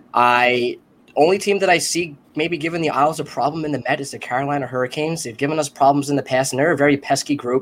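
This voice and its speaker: A man with an Long Island accent, fairly high-pitched, at a very fast pace and with fairly even intonation. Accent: Long Island New York. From Long Island, New York. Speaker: sports panelist, Islanders fan. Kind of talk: casual chat. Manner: loud.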